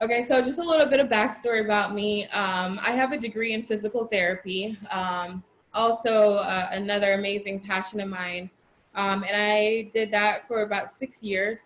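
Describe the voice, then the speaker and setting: An unremarkable speaking voice: a woman with an American accent, medium in pitch, at a moderate pace with fairly even intonation. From Florida. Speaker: personal trainer. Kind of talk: interview.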